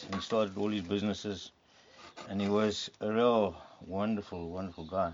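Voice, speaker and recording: Fairly low in pitch, a man delivers his words at a moderate pace in a flat monotone. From South Africa, Eastern Cape (East London). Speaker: artist and hunter. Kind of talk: casual chat. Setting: outdoors.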